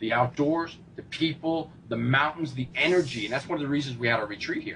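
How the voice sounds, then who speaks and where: In an American accent, a man talks at a fairly quick pace with an animated tone, a fairly high pitch and ordinary pitch variation. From New York. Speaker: fitness coach and motivational speaker. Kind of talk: interview.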